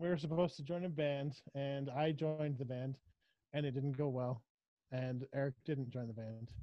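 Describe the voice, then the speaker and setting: An unremarkable speaking voice, male, fairly high in pitch, with fairly even intonation at a moderate pace. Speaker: podcast co-host. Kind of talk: casual chat.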